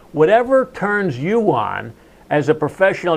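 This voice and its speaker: A man with an American accent speaks at a moderate pace, his pitch swinging very widely. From New Jersey. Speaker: sales and marketing speaker. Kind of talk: casual chat.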